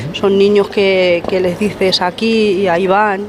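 The speaker goes at a fairly slow pace with fairly even intonation while noticeable background noise plays behind. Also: woman. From Madrid, Spain. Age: 50s. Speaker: grandmother. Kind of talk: casual group interview. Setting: market, on location.

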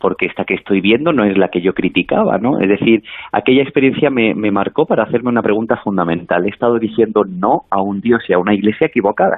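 The speech runs at a very fast pace with hardly any pauses, very even loudness and ordinary pitch variation. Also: man, fairly low pitch for a man. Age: young. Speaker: priest. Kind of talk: interview.

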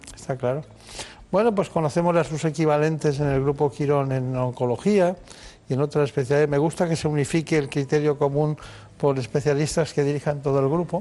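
Speaking at a fairly quick pace, a man uses a fairly high voice with a dark, mellow tone, fairly even intonation and very even loudness. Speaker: radio host. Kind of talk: radio health show interview. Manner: formal, courteous.

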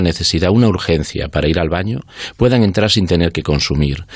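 A man speaks with lively intonation. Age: 50s. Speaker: oncology doctor and researcher. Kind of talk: radio interview. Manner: halting, many fillers.

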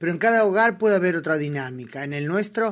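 At a fairly quick pace, a woman speaks with ordinary pitch variation.

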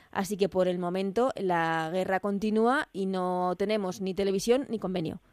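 A woman's plain, everyday voice at a moderate pace with ordinary pitch variation, dry and close with no echo on a very clean recording with a silent background. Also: medium pitch for a woman, hardly any pauses. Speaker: radio sports podcast host. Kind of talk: sports radio interview and analysis.

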